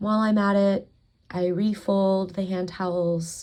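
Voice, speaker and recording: A woman speaks at a medium pitch in a calm, somewhat breathy tone. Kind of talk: ASMR talking vlog, calm narration of housework. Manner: calm, soft, relaxing.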